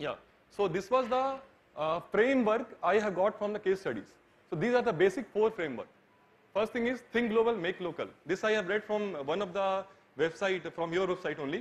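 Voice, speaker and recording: A man talks at a moderate pace. His pitch is high. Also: ordinary pitch variation. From India. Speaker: architecture student; presenter. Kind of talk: presentation. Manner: halting. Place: hall.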